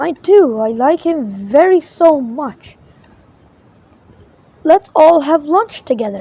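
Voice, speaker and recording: Using a put-on character voice that is raised and projected, a woman speaks high and fairly slowly, leaving long, frequent pauses. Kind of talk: bedtime story. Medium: read story. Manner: bouncy, exclamatory.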